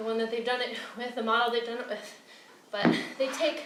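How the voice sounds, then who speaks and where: Audible room echo and noticeable background noise surround a woman speaking. She talks at a moderate pace with a high pitch. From Britain. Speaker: fitness trainer. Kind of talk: workout instruction. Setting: outdoors.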